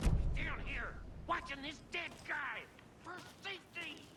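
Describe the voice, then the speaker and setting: A put-on character voice is pitched high. Loud background noise runs underneath. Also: fairly slow pace. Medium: video game. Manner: loud, complaining.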